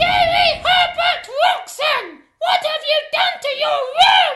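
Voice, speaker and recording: A put-on character voice at an extremely high pitch swings very widely in pitch while moving at a very slow pace. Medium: machinima.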